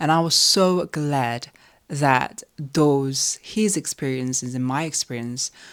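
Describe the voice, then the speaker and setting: In a Korean accent, a woman speaks at a very slow pace. Her pitch is very deep and low, with ordinary variation. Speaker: composer and vlogger. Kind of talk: casual chat.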